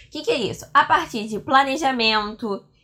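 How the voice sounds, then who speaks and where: A woman talks at a fairly slow pace with an animated tone. Her fairly high voice shows ordinary pitch variation. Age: 20s. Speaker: history teacher. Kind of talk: lecture.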